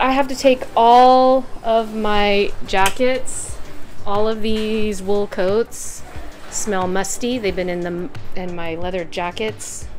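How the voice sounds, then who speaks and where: Faint music plays in the background as a woman speaks with big swings in loudness. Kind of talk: casual vlog chat. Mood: cheerful, excited. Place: kitchen. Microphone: phone near.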